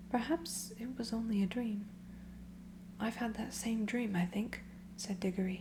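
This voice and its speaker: This speaker is soft-spoken. The pace is moderate. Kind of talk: ASMR audiobook storytime reading.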